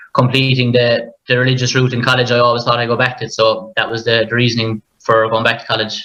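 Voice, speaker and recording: A man's medium-pitched voice in a Limerick accent, bright and sharp, fairly quick and monotone, with flat intonation. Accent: Irish, Limerick. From Ireland, near Limerick. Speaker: primary school teacher. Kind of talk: panel conversation.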